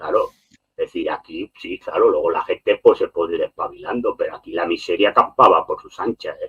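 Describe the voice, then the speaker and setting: The voice moves at a fairly quick pace, with ordinary pitch variation and big swings in loudness. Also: man, extremely high pitch for a man. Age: 60s. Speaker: political commentator. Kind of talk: heated debate. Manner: animated; halting.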